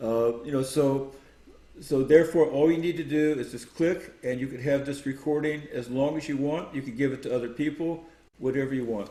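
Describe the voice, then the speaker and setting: Here a man speaks at a fairly high pitch with a dark, mellow tone. He keeps a moderate pace and ordinary pitch variation. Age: 70s. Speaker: sound healing expert and author. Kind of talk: interview. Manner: halting.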